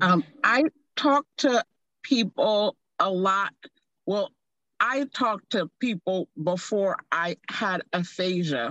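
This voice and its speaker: A woman at medium pitch with a bright, sharp tone, very wide pitch swings, a very slow pace, and long, frequent pauses. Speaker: stroke survivor. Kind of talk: casual chat. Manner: halting.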